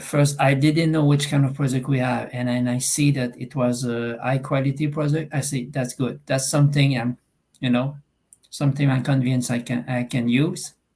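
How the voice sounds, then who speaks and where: In a Quebec accent, a somewhat breathy man talks at medium pitch and a moderate pace, with monotone, flat intonation. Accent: Québécois French accent in English. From Eastern Quebec, Canada. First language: French. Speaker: online business member. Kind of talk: video call testimony. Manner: halting.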